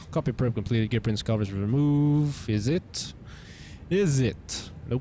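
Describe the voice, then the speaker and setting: This man has a dark, mellow tone. His pitch variation is ordinary. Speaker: flight sim streamer. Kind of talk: live stream commentary. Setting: live stream. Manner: halting.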